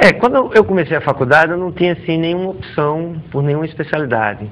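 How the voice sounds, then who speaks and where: Over noticeable background noise, a man talks at a very fast pace. His pitch is fairly high and his intonation lively. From Natal, northeastern Brazil. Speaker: orthodontist. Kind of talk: TV interview.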